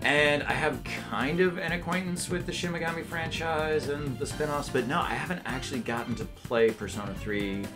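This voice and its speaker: Over clear background music, a man speaks at a moderate pace in a playful tone. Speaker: voice actor. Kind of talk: interview answer. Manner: jokey, playful. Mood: relaxed, jokey. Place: studio. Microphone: lapel.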